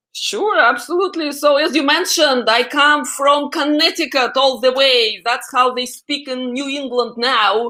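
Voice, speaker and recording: Over noticeable background noise, a woman with a Russian accent uses a raised, projected voice at a high pitch, a moderate pace and ordinary pitch variation. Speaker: AI expert guest. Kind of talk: interview.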